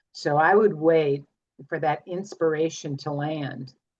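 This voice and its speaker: Vocal fry runs through speech with fairly even intonation. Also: woman. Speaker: astrologer. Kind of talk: live group astrology session on video call.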